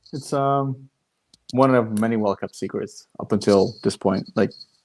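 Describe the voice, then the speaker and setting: A fairly slow man with a medium pitch, a dark, mellow tone and fairly even intonation. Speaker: podcast host. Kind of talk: casual chat. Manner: well spoken; hesitant, many ums and restarts.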